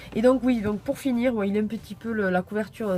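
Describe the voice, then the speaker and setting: Over noticeable background noise, a woman with a medium pitch and ordinary pitch variation talks at a fairly quick pace. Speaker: YouTuber showing purchases. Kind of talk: haul video, casual chat to camera. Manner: hesitant, many fillers.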